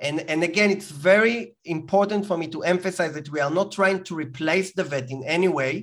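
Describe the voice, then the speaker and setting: A man with an Israeli accent talks at a fairly quick pace in a high voice, his pitch rising and falling in an ordinary way. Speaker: entrepreneur. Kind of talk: interview.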